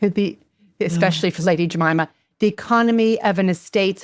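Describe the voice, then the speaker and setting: A woman with an unremarkable speaking voice, medium pitch, ordinary pitch variation and fairly quick pace. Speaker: podcast host, interviewer. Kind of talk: podcast interview, host asking questions.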